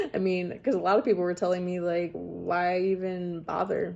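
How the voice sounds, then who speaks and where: A woman talks fairly slowly, with noticeable background noise present. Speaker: vlogger / storyteller on her own channel. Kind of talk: casual talk to camera. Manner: chatty, rambling, conversational.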